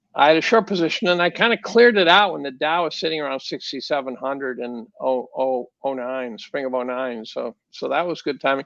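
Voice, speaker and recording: A man at a fairly high pitch, fairly quick and lively in intonation, with hardly any pauses against a quiet background. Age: 60s. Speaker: chemistry professor and market commentator. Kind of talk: podcast interview. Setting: podcast. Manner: halting, many repeated words.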